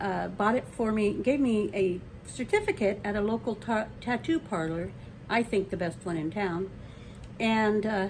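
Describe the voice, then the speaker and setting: A woman's medium-pitched, somewhat breathy voice with lively intonation. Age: 70s. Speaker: retired grandmother storyteller vlogger. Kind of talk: casual unscripted video introduction. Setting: home video recording on camera. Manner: halting, many fillers and restarts; warm, down to earth.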